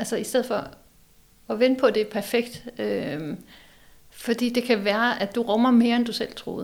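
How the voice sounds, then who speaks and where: Speaking at a moderate pace with long, frequent pauses, a woman uses a fairly high pitch, fairly even intonation and vocal fry. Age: 40s. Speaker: psychology professor and design school rector. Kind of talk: casual chat. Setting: office of a publishing house.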